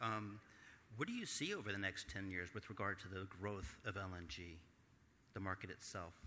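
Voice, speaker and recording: Speaking with an American accent, a man has a fairly low pitch and a bright, sharp tone. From Texas. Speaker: panel moderator. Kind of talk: moderated panel discussion. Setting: stage with audience. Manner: halting.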